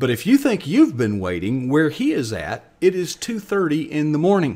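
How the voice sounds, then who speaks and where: The pitch of this man's voice rises and falls over a very wide range. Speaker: host of an online show. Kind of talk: show host introduction. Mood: warm, earnest. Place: home room. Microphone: webcam.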